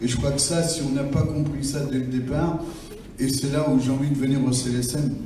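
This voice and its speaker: Noticeable background noise and audible room echo fill the recording. A man speaks with fairly even intonation. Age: 60s. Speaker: mental health user advocate. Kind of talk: round table talk. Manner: halting, repeats words.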